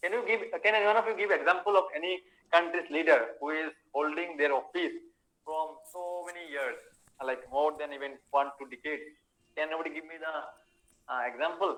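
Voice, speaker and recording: The man speaks at a high pitch in a bright, sharp tone. His loudness swings a lot, and he takes long, frequent pauses. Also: ordinary pitch variation, fairly quick pace. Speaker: teacher. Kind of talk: online class lecture. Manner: many fillers and hesitations; fast.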